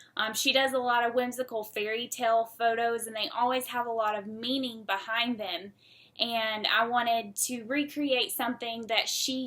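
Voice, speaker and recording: On a very clean recording with a silent background, a woman with a Southern US accent speaks at a fairly high pitch, in a bright, sharp tone with monotone, flat intonation. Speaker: student. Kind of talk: casual class project presentation.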